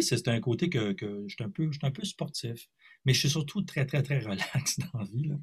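A man with a Quebec accent sounds somewhat breathy, his intonation lively. The recording is very clean, with a silent background. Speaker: singer and multi-instrumentalist. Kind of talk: interview.

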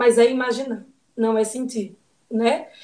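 A woman's fairly high, a normal speaking voice, at a fairly slow pace. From Ceará, Brazil. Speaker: psychiatrist. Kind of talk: casual chat.

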